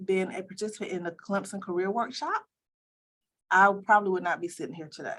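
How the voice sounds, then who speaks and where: A woman with an American accent talks at a fairly quick pace in an ordinary speaking voice, medium in pitch with ordinary pitch variation and big swings in loudness. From US South, Columbia, South Carolina. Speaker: optometry school dean. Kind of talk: interview.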